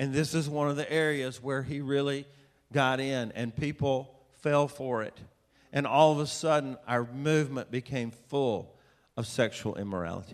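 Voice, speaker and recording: Speaking at a moderate pace in a Southern US accent, a man has a fairly high pitch and fairly even intonation. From US South, Atlanta, Georgia. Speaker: preacher, author. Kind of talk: sermon. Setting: church with audience.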